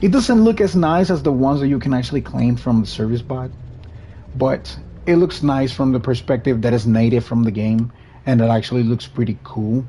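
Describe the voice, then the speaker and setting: A man talks at a fairly quick pace with a Spanish accent. His pitch is medium, with ordinary pitch variation. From Puerto Rico. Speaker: gaming streamer. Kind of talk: live gameplay commentary. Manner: casual, with self-corrections.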